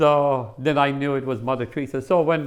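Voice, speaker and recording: Here is a man with an American accent. His pitch is fairly high. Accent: sounds American. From US Northeast (Connecticut), born in India. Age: 60s. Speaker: faith testimony guest. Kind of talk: testimony. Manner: halting, many fillers and repetitions.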